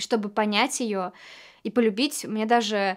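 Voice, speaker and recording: A woman speaks with a fairly high pitch in a flat, monotone delivery. The background is quiet. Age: 20s. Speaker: actress. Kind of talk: actor showreel self-introduction. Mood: warm, calm, lightly playful. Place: studio.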